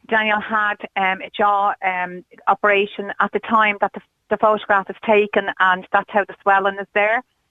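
In an Irish accent, a woman talks at a moderate pace and a medium pitch, her intonation monotone and flat. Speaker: caller, mother of stranded supporter. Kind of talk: radio phone-in interview. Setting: phone call.

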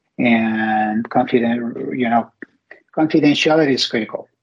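Speaking in a Spanish accent, this man keeps his voice at a medium pitch. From Mexico. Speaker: company CEO. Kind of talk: interview.

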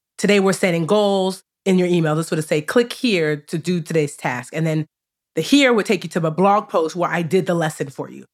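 Her pitch fairly low and its variation ordinary, a woman talks at a very fast pace. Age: 40s. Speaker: personal finance educator and author. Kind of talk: interview conversation.

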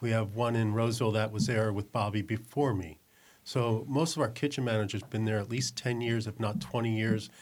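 In an American accent, a man uses an ordinary speaking voice at a medium pitch, talking fairly quickly with fairly even intonation. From New Jersey. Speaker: executive chef. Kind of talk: casual chat.

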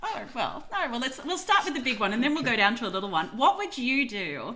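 A woman with an Australian accent speaks at a fairly high pitch. Her voice makes very wide pitch swings over noticeable background noise. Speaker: podcast co-host. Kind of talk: casual interview chat.

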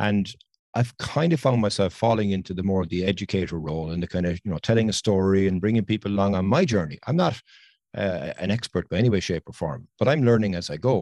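A very fast voice with a dark, mellow tone. The sound is dry and close with no echo, and the pitch varies in an ordinary way. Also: man, fairly low pitch for a man. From Ireland. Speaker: landscape photographer and podcaster. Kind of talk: casual interview chat. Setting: video call. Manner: talkative, enthusiastic.

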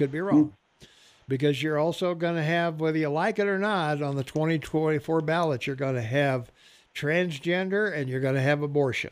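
A man with an American accent speaks at a moderate pace in fairly high pitch with ordinary pitch variation and an unremarkable speaking voice. The recording is very clean, with a silent background. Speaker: radio host. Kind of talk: casual talk radio. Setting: studio.

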